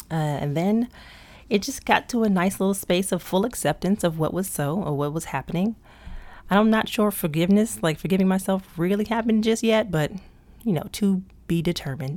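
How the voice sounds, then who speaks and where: A woman with an American accent, medium-pitched, at a fairly quick pace. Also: ordinary pitch variation. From US, Prince George's County, Maryland. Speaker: podcast host. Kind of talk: casual monologue. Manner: laughs big and hearty.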